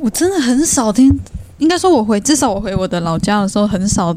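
With an unremarkable speaking voice, a woman speaks at a fairly quick pace in a medium pitch. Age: young. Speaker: podcast host. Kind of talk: casual chat.

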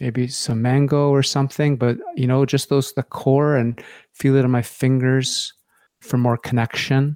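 Here a man uses a plain, everyday voice at a medium pitch with fairly even intonation. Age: 50s. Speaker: vocal coach and life coach. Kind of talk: casual interview.

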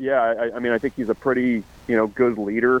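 A man talks in a normal speaking voice at a fairly quick pace with fairly even intonation. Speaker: sports journalist. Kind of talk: radio interview.

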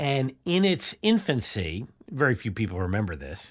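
A medium-pitched male voice with vocal fry and very wide pitch swings, on a very clean recording with a silent background. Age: 50s. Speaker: sports analyst. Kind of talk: interview.

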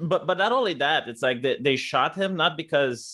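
A man with a Romanian accent. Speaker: YouTuber. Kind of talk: casual chat.

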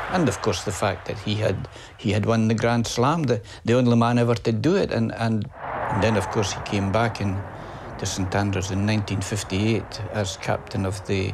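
A man with a Scottish accent speaks at a moderate pace in a fairly low pitch. His intonation stays fairly even, with audible room echo and noticeable background noise. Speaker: golf historian and journalist. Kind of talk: interview.

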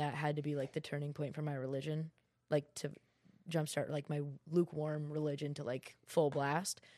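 Speaking with an American accent, a woman has a very deep, low voice. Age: 20s. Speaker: social media influencer. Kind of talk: casual chat.

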